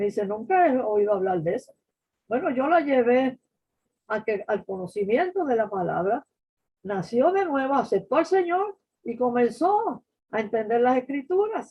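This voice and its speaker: A woman with a high voice talks fairly slowly, her pitch swinging very widely. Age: 80s+. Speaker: Bible teacher. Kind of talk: Bible study teaching. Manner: halting.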